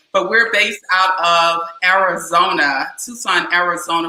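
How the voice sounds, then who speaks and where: A woman's fairly low-pitched voice at a moderate pace, with fairly even intonation. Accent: Southern US. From US South, South Carolina. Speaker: business organization founder. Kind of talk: interview.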